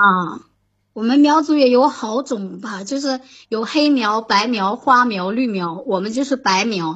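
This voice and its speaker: A woman talks fairly slowly with a fairly high pitch and lively intonation. Hers is a normal speaking voice. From Shandong, Jinan (born Xishuangbanna). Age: 20s. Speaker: caller. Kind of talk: casual chat. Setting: online voice call. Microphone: laggy connection.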